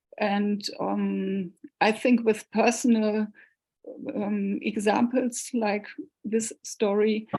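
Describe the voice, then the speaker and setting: A woman with a German accent speaks very slowly in a monotone, flat intonation, her fairly high, somewhat breathy voice carrying a dark, mellow tone between long, frequent pauses. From northern Germany, Hanover. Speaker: cellist and researcher. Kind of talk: Q&A at online talk. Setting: video call. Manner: halting.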